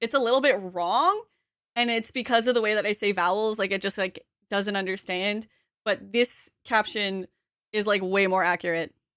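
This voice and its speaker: On a very clean recording with a silent background, a woman with a slight Canadian accent speaks at a moderate pace in a medium pitch with fairly even intonation. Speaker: streamer. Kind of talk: casual chat. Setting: live stream.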